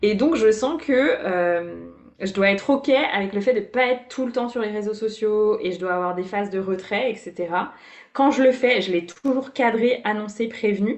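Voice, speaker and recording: A woman has an unremarkable speaking voice at a fairly high pitch. She keeps a moderate pace with ordinary pitch variation. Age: 30s. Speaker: business coach. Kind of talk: casual interview.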